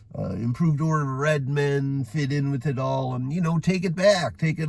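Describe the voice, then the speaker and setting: A man speaks with an American accent at a fairly quick pace. His voice is somewhat breathy, with a fairly high pitch and ordinary pitch variation. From western New York (Orchard Park, near Buffalo). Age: 50s. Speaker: vlogger. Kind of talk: casual monologue. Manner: animated; rambling with filler words.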